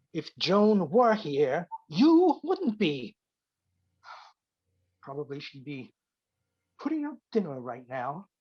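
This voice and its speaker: Putting on a gruff character voice, a man speaks at a high pitch and a very slow pace, with very wide pitch swings and long, frequent pauses. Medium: stage play. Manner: gruff, curt, grumbling.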